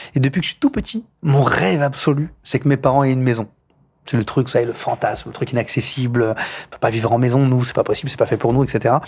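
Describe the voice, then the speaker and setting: With a somewhat breathy voice, a man talks at a medium pitch and fairly quick pace, using ordinary pitch variation. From France, Paris outskirts (Poissy, Yvelines). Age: 30s. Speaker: mayor. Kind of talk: interview. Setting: office at town hall.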